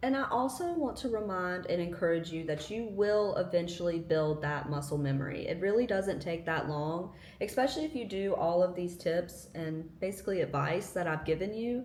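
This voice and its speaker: Over noticeable background noise and audible room echo, a woman speaks at a fairly low pitch and moderate pace with hardly any pauses and ordinary pitch variation. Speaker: lifestyle vlogger. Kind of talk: casual tutorial.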